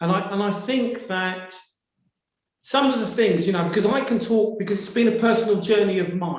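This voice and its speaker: Audible room echo surrounds a man with a British accent. His pitch is high, with ordinary pitch variation. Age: 60s. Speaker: audience member asking a question in a webinar. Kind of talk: webinar audience comment.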